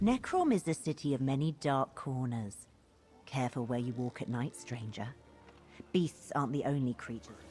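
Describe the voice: In a put-on character voice, a woman talks at a moderate pace with extremely low pitch, lively intonation, a slightly husky edge and a dark, mellow tone.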